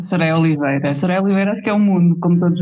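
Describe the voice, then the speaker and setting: A woman speaks with a European Portuguese accent at a medium pitch. Music plays in the background. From Portugal, rural village (Forcada, Águeda area). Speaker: designer, therapist and pastry maker. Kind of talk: interview conversation. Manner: hesitant, with fillers.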